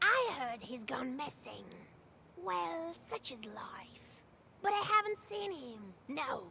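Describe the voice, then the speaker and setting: In a put-on character voice, a woman speaks high and fairly slowly, with very wide pitch swings, big swings in loudness, long, frequent pauses, and clear background noise behind her. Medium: game stream. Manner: mocking, evasive.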